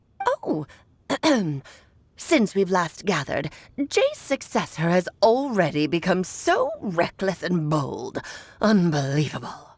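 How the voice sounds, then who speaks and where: In a put-on character voice, a woman speaks at a medium pitch and a fairly slow pace. Long, frequent pauses break up her lines. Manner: imitating an old woman.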